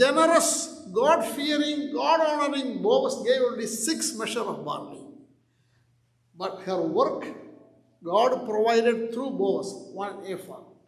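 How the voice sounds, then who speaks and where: A man at extremely high pitch, very slow, with lively intonation, big swings in loudness and audible room echo. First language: not English. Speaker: pastor. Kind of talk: sermon.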